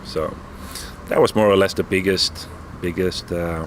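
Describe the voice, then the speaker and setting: Noticeable background noise sits behind a man with a very deep, low voice. He speaks at a moderate pace with monotone, flat intonation. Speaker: metal band founder and musician. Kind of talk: interview.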